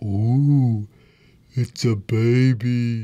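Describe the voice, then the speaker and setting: A man puts on a character voice at a medium pitch. His intonation is monotone and flat. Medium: read story. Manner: loud, jolly.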